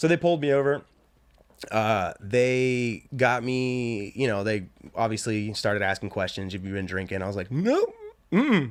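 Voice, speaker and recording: A man with a normal speaking voice talks at a moderate pace, his pitch medium and his pitch variation ordinary. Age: 30s. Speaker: podcast host. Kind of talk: casual chat.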